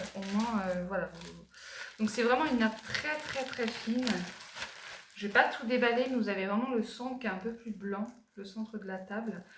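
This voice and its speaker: A woman's fairly high voice at a moderate pace, with long, frequent pauses over noticeable background noise. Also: ordinary pitch variation. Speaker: lifestyle vlogger and mother. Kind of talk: product haul vlog. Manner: hesitant, many fillers.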